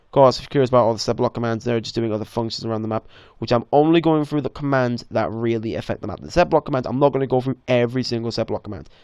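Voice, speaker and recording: The background is quiet as a man speaks. His medium pitch shows ordinary variation. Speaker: Minecraft map maker. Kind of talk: tutorial. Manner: fast; casual, hesitant.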